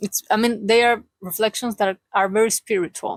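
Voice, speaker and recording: With a Chilean accent, a woman speaks in fairly even intonation, the sound dry and close with no echo. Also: very clean recording, silent background. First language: Spanish. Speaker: vlogger. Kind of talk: casual vlog monologue. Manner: halting.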